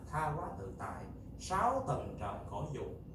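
A man speaks at a very slow pace. The room echo is audible and background noise is noticeable. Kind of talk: sermon. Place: hall. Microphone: camera far.

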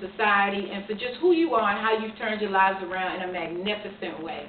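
Over light background noise and audible room echo, a woman talks at a fairly quick pace. Her voice sits at medium pitch with ordinary pitch variation. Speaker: interviewer. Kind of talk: interview questions. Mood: warm, earnest, appreciative. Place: home room. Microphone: camera far.

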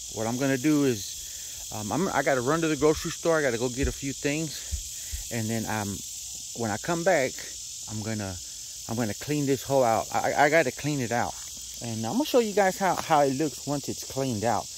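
The speech moves at a fairly quick pace, with a dry sound that has no echo and noticeable background noise. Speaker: home cook vlogger. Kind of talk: casual vlog chat. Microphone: phone near.

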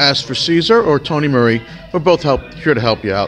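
Faint music plays in the background as a man talks at a very fast pace. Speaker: car salesperson. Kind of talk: sales walkaround commentary. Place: shop. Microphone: phone near.

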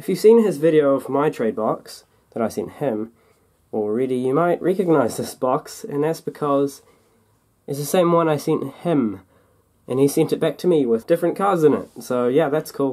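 A New Zealand accent at a moderate pace. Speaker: diecast toy collector YouTuber. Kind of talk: casual unboxing video. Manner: casual, chatty.

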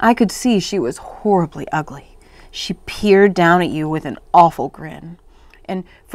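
Ordinary pitch variation in plain reading aloud.

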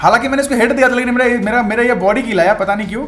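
A man speaks in an animated tone at an extremely high pitch. Noticeable background noise runs underneath. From India, West Bengal. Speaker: gaming YouTuber. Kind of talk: gameplay commentary. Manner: casual, animated.

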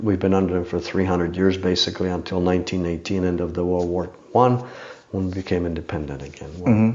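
A very deep, low-voiced man with a Czech accent at a fairly quick pace. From Czech Republic. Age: 50s. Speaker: bow maker and mounted archer. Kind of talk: casual interview. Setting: in person at his home.

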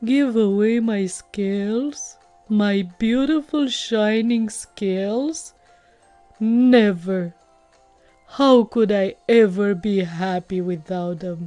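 A woman puts on a character voice at a medium pitch and a very slow pace. Faint music plays in the background. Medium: read story. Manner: proud, then warm and enthusiastic.

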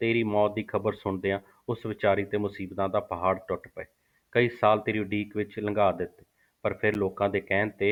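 A quiet background behind reading aloud in a natural voice.

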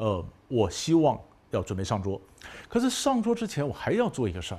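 A man talks at a fairly quick pace with very wide pitch swings. His tone is dark and mellow, and somewhat breathy. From Taiwan. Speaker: professor. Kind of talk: lecture. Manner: conversational, rhetorical questions. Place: studio.

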